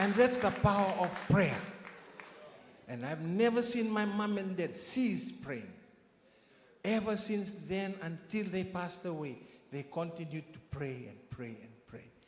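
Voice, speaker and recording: Against noticeable background noise and audible room echo, a man with a high voice speaks fairly slowly with lively intonation, big swings in loudness, and long, frequent pauses. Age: 60s. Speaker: church member giving testimony. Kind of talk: testimony. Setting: church.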